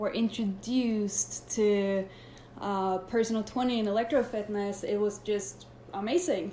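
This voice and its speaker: In a Swedish accent, a woman with a medium-pitched voice speaks at a fairly slow pace with fairly even intonation. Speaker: personal trainer. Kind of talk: live Q&A. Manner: halting.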